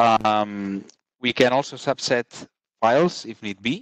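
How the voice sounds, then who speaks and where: A man's unremarkable speaking voice at a fairly low pitch, with fairly even intonation, a dry, close sound with no echo and a quiet background. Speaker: space software trainer. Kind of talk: lecture.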